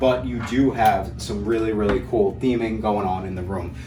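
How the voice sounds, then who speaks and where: Noticeable background noise and audible room echo. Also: man. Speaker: travel vlogger. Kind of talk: video walkthrough review. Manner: fast; enthusiastic.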